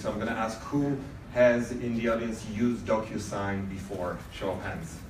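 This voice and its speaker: Over noticeable background noise and audible room echo, a man with a Polish accent speaks at a medium pitch with fairly even intonation. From Poland. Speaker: event host company representative. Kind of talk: welcome speech. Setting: event venue with audience. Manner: halting, many fillers.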